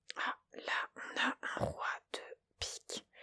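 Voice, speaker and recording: A woman is whispering. The sound is dry and close, with no echo. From Montpellier, France. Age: 20s. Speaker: ASMR creator. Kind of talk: casual talk to camera while playing solitaire. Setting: home recording with a Blue Yeti microphone. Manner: casual, chatty, relaxed.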